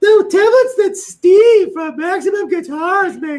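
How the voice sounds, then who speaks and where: A put-on character voice pitched extremely high, delivered at a moderate pace. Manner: exaggerated, droning.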